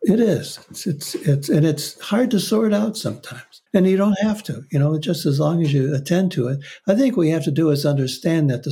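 Somewhat breathy and dark, mellow in tone, a man talks at a fairly quick pace with lively intonation. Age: 80s+. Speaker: author and psychotherapist, former monk. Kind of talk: interview. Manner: halting.

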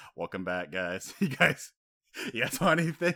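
A man uses a put-on character voice that is raspy, at a medium pitch, with very wide pitch swings and a moderate pace.

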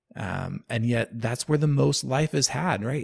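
With an unremarkable speaking voice, a man talks at a fairly slow pace and medium pitch using lively intonation. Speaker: podcast host. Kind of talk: podcast interview with scripted intro and outro.

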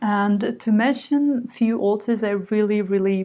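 Speaking fairly slowly with a Slovak accent, a woman has a medium pitch, a dark, mellow tone and fairly even intonation. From Slovakia. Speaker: writer and literary translator. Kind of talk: interview. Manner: hesitant, many fillers.

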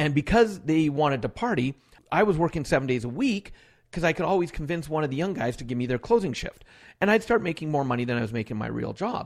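A man with a fairly high voice and a western Canadian accent, very fast, with very wide pitch swings. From Alberta, Canada. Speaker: author and motivational speaker. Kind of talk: interview.

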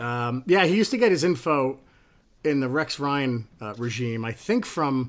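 Lively intonation colors a man's normal speaking voice at a medium pitch. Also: moderate pace. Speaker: newspaper editor and podcast host. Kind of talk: casual chat.

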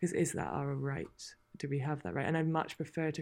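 The speaker has a British accent and fairly even intonation and talks at a moderate pace, in a very clean recording with a silent background. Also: woman. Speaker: author and endurance horse racer. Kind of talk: interview chat.

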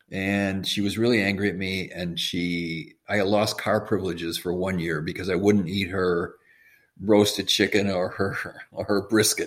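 Pitched fairly low, a man with an American accent has an ordinary speaking voice, fairly even intonation, and a fairly slow pace. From US Midwest, Madison, Wisconsin. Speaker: physician and supplement maker. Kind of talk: interview.

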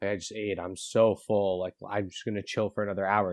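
A man speaks at a moderate pace in a fairly low voice. His intonation is flat and monotone. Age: 20s. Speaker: podcast guest, longtime friend of the hosts. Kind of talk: casual chat.

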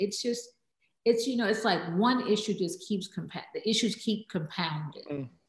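In an American accent, a woman talks at a moderate pace and medium pitch. Her voice is somewhat breathy. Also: ordinary pitch variation. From Texas, Houston. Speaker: social impact entrepreneur. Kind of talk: interview.

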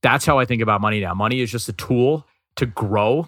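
An ordinary speaking voice with an American accent, a fairly quick pace and ordinary pitch variation, in a very clean recording with a silent background. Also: man. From New York City, Queens. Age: 30s. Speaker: comedian and finance content creator. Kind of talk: interview.

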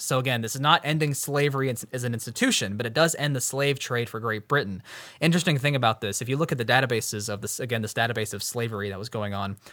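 This man talks at a very fast pace. His tone is bright and sharp. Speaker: podcast host. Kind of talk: casual educational chat about history. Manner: explanatory, conversational.

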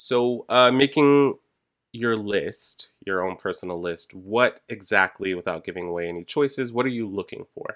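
A man talks at a moderate pace in a normal speaking voice, with medium pitch and ordinary pitch variation. The recording is dry and close, with no echo. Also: very clean recording, silent background. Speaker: podcast host. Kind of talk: casual podcast chat.

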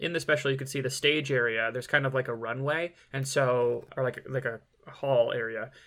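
Speaking with an American accent, a man at a medium pitch has a bright, sharp tone and fairly even intonation. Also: fairly quick pace. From Michigan. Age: 30s. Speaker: comedian. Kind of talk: casual chat.

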